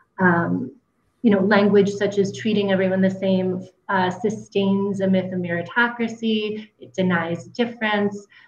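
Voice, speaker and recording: Heard with audible room echo, the speaker talks at a moderate pace with fairly even intonation. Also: woman. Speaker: social work professor. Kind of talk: panel discussion. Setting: video call. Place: home room. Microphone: video call.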